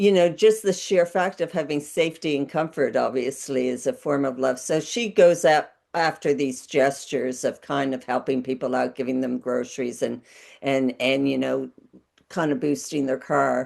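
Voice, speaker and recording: Against a quiet background, a woman with vocal fry speaks at a moderate pace in a very deep, low voice with ordinary pitch variation. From Newfoundland. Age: old. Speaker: filmmaker. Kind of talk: panel Q&A discussion.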